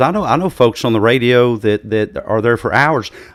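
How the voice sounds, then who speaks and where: A normal speaking voice from a man, medium in pitch, with lively intonation. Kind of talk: casual talk, podcast host.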